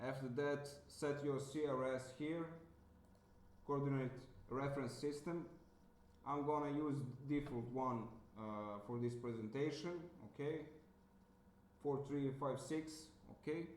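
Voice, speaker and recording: A man with a non-native accent at a fairly high pitch, with fairly even intonation, a fairly slow pace and long, frequent pauses, amid noticeable background noise and audible room echo. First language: not English. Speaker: software developer demonstrating plugin. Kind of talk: tutorial. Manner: hesitant, many fillers.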